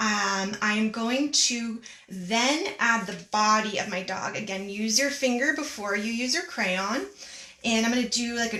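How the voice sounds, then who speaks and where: Through noticeable background noise and audible room echo, a woman speaks at a fairly high pitch. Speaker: art teacher. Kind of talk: tutorial. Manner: animated.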